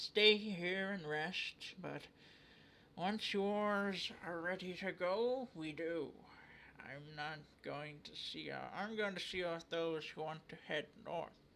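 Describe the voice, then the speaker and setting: A man puts on a character voice with a high pitch at a fairly slow pace. Clear background noise runs underneath. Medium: game stream. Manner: gruff, blunt.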